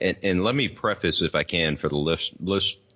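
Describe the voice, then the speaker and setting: A man talks at a moderate pace with a Southern US accent. His intonation is lively and shows vocal fry. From US South. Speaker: podcaster. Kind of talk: casual chat. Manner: slurred; halting.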